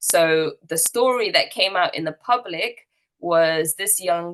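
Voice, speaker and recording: In a strong British accent, a woman speaks with a fairly low pitch and ordinary pitch variation. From UK. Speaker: activist and eyewitness speaker. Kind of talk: testimony. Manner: hesitant, many fillers.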